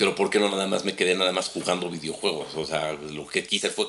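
A man speaks with a Mexican accent and a very deep, low pitch, his intonation fairly even. There is noticeable background noise. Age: 40s. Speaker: tech business director. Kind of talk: casual chat.

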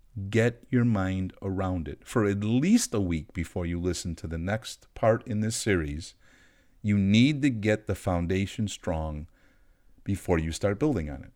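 Very clean recording, silent background: a man with an unremarkable speaking voice. He speaks fairly slowly at a fairly low pitch, with ordinary pitch variation. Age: 50s. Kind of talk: teaching monologue on faith.

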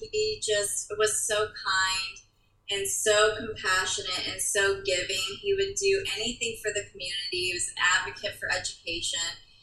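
The speaker keeps a moderate pace with hardly any pauses over noticeable background noise. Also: woman. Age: 30s. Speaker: interior designer and multiple sclerosis patient. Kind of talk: casual interview chat.

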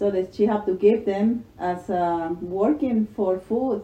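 The voice has a dark, mellow tone and lively intonation. It moves at a very slow pace in a Spanish accent. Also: woman. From El Salvador. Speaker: mother telling her life story. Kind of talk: casual chat. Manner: halting.

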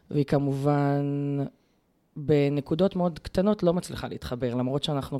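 A woman's very deep, low pitch, dark and mellow in tone, with ordinary pitch variation and long, frequent pauses. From Israel, Be'er Sheva. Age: 30s. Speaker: teacher and environmental activist. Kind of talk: interview.

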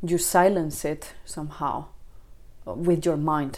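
Her voice fairly low for a woman, she speaks at a fairly slow pace in a monotone, flat intonation. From Spain. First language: Spanish. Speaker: mother sharing birth story, former ecologist. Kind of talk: interview testimony. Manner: halting.

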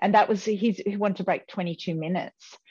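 The background stays quiet. A woman talks in an Australian accent. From Australia, rural New South Wales (Riverina). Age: 50s. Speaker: former Olympic distance runner. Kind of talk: casual interview.

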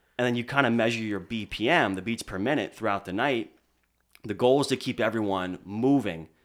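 A man speaks at a fairly quick pace with a medium-pitched voice. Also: very clean recording, silent background. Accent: American. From Lebanon, Pennsylvania. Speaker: DJ. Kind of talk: casual interview chat. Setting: studio.

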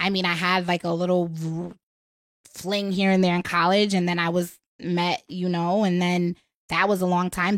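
A woman with an American accent speaks at a moderate pace in a fairly low pitch with monotone, flat intonation, recorded very cleanly against a silent background. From Connecticut. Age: 30s. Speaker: podcast guest. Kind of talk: casual chat.

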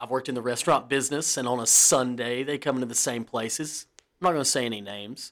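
A man's medium-pitched voice with a Southern US accent, fairly even intonation and a very fast pace. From US South. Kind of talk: casual chat.

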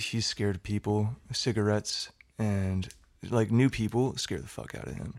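A man talks in a plain, everyday voice at a medium pitch and a fairly slow pace. His pitch variation is ordinary. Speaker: podcast host. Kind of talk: casual chat.

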